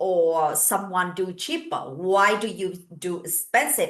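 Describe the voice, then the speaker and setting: Speaking at a very slow pace, a woman with a non-native accent has a bright, sharp tone. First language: not English. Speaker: hairdresser and business coach. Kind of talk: online training talk. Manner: halting.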